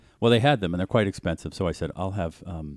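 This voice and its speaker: A man with a Boston accent speaks with ordinary pitch variation. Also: very clean recording, silent background. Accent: Boston accent, swallows word endings. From Boston, Massachusetts. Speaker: podcast co-host. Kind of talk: casual chat.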